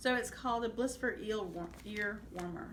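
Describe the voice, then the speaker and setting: A woman talks at a moderate speed, her pitch varying in an ordinary way, while audible room echo and noticeable background noise fill the recording. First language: Spanish. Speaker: crafting vlogger. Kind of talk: casual vlog show-and-tell. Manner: hesitant, many fillers.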